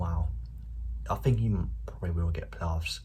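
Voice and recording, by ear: At a moderate pace, a man speaks quietly in a dark, mellow tone with audible room echo.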